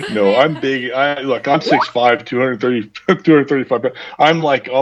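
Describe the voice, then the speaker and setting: A plain, everyday voice, a man at medium pitch, fairly quick pace, fairly even intonation. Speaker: voice actor in audio drama. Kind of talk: casual chat.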